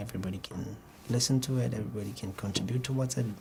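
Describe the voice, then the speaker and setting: This man has a slight Botswana accent. His pitch is medium. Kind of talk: exam interview answer. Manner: fluent but rather slow, occasional hesitation.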